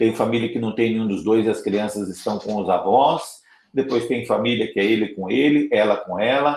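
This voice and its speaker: A normal speaking voice from a man, medium in pitch, with ordinary pitch variation. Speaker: Salesian priest giving a formation talk. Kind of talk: online formation lecture.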